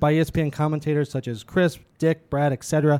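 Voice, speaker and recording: In a plain, everyday voice, a man speaks at a fairly quick pace and a fairly high pitch, in a dry, close recording with no echo that is very clean, with a silent background. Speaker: podcast host. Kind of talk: casual chat. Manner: casual, conversational.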